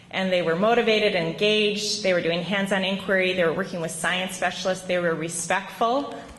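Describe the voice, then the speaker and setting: Against noticeable background noise and audible room echo, a woman with an American accent talks fairly quickly with hardly any pauses and fairly even intonation. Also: medium pitch for a woman, very even loudness. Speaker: teacher. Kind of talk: award acceptance speech. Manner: hesitant, many ums.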